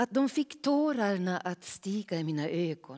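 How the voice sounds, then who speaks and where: Against a quiet background, a woman speaks at a fairly slow pace and medium pitch, her dark, mellow tone paired with lively intonation. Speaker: actor; actor reading prose. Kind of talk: reading aloud. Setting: stage with audience. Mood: calm, measured, reflective. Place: stage. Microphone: headset.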